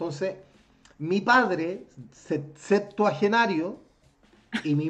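A man's voice rises and falls with lively intonation while music plays behind him. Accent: Chilean. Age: 40s. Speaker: podcast host. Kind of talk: casual chat.

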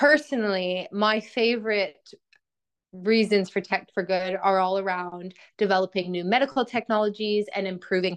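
Against a quiet background, a woman with a Canadian accent speaks at a moderate pace with a medium pitch and an unremarkable speaking voice. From Canada (Edmonton, Alberta). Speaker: healthcare tech business professional. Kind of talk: casual interview.

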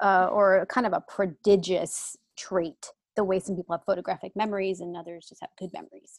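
A fairly quick, flat monotone delivery with hardly any pauses, big swings in loudness, and a dry, close sound with no echo. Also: woman, medium pitch for a woman. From San Diego, California, Cuban-American family. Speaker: author. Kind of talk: casual chat.

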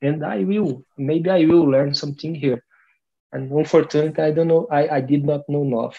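At a moderate pace, a man with a Portuguese accent talks in a fairly high pitch. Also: ordinary pitch variation. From Brazil (Brasilia, Amazon region). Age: 40s. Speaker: language learner in conversation group. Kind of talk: casual chat. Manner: halting.

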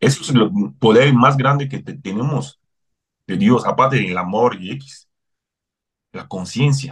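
A man's somewhat breathy voice at medium pitch, lively in intonation, fairly slow, with long, frequent pauses and big swings in loudness. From Cameroon. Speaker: human rights advocate. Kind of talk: interview.

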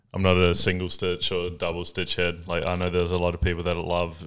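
Very deep and low, a man's voice with a New Zealand accent moves at a fairly quick pace with monotone, flat intonation in a very clean recording with a silent background. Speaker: podcast host, vintage clothing store owner. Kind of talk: casual chat.

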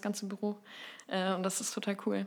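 A woman speaks at a medium pitch. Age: 20s. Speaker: writer and editor with anxiety disorder. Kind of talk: interview, personal testimony.

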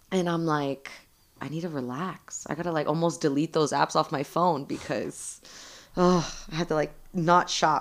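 A woman with a Southern Californian accent, very deep and low in pitch, at a moderate pace. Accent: Southern Californian American. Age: 30s. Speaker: licensed vocational nurse, bartender and mother. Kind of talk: casual chat.

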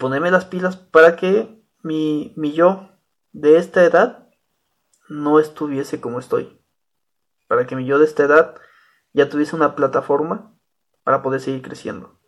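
In a very clean recording with a silent background, a man with a Mexican accent speaks at a fairly slow pace and a fairly high pitch, with ordinary pitch variation, big swings in loudness and long, frequent pauses. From Mexico, small rural town. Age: 30s. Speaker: podcaster. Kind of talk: casual monologue.

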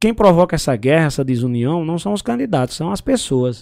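A man speaks with very wide swings in pitch. The recording is very clean, with a silent background. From Brazil, Paraíba (Pombal, Northeast). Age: 30s. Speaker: radio journalist and broadcaster. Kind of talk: casual interview chat.

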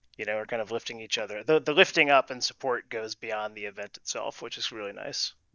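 Talking at a very fast pace with hardly any pauses, a man uses a medium pitch with ordinary variation and big swings in loudness. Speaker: improv and leadership coach. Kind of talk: casual interview chat.

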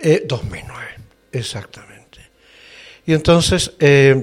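Here a man talks at a fairly slow pace. His voice is somewhat breathy. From northern Chile, Antofagasta. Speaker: actor and seminar teacher. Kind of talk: interview. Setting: studio.

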